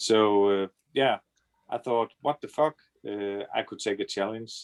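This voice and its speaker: A man's fairly low voice in a Danish accent, with fairly even intonation and a dry, close sound with no echo. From Denmark. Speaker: trader, scam victim. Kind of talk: interview testimony. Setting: video call. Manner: halting.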